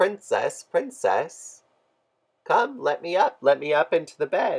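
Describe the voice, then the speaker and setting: Someone speaks in a croaky, put-on character voice at a fairly slow pace. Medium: read story.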